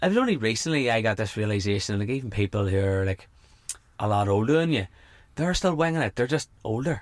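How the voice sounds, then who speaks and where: A man with an Irish accent speaks at a very fast pace and a medium pitch. His intonation is lively. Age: 30s. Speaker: podcast host and coach. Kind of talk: casual interview chat. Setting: camper van.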